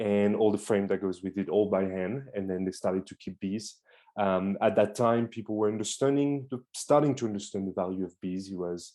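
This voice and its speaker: A man speaks fairly quickly with a French accent and a dark, mellow tone. His pitch varies in an ordinary way. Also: fairly low pitch for a man. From France. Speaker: beekeeper. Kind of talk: presentation. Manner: hesitant.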